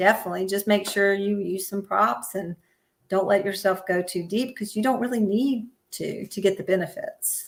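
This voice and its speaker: An ordinary speaking voice from a woman at medium pitch, moderate pace and ordinary pitch variation. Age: 60s. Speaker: yoga teacher and physical therapist. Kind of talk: interview. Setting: live stream.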